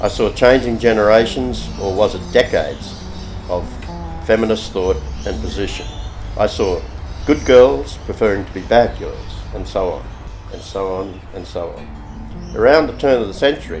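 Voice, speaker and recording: A man with an Australian accent speaks with long, frequent pauses, and the recording has audible room echo and noticeable background noise. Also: moderate pace, big swings in loudness. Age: 60s. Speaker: artist. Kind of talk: reading aloud. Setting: artist's studio.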